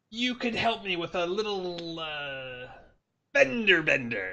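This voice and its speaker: A put-on character voice at a middle pitch comes through over a quiet background. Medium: actual play. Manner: polite, proper.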